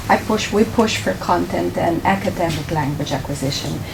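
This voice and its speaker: Speaking at a moderate pace with a Romanian accent, a woman is heard over noticeable background noise. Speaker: ESL teacher. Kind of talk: presentation. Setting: board meeting.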